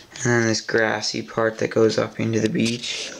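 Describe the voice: Vocal fry runs through a monotone, flat delivery at a moderate pace, with audible room echo.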